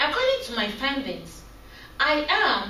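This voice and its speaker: Amid noticeable background noise and audible room echo, a woman talks at a fairly slow pace with lively intonation. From Cameroon. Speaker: graduate student. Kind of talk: class presentation. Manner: soft-spoken.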